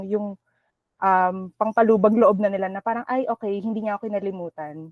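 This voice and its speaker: With an ordinary speaking voice, a woman talks at a medium pitch and a fairly quick pace, her intonation fairly even. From Philippines. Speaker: team member. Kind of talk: casual team discussion.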